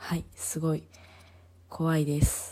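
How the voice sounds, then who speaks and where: A woman with a fairly low pitch speaks in a dark, mellow tone. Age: 30s. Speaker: podcaster. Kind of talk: casual monologue.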